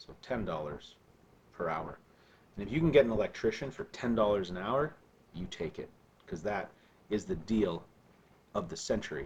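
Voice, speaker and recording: Speaking at a moderate pace with long, frequent pauses, a man with a fairly low pitch sounds somewhat breathy, using lively intonation and big swings in loudness. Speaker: math teacher. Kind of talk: recorded lesson. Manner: casual, with fillers.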